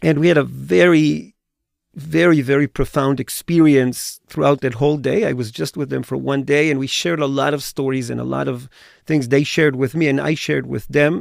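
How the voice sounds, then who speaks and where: In a plain, everyday voice, a man talks at a fairly quick pace with fairly high pitch and ordinary pitch variation, on a very clean recording with a silent background. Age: 50s. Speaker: tour educator. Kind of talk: personal testimony in podcast interview.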